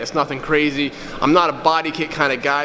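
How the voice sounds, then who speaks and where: Animated in tone, a man with a fairly high pitch talks over noticeable background noise with audible room echo. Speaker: car vlogger. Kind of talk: casual vlog tutorial. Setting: garage shop. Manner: loud, raised voice; casual, animated.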